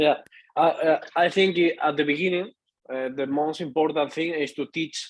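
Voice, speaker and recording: A man's intonation stays fairly level as he speaks. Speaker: network marketing team member. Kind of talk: casual business discussion. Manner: halting, many fillers.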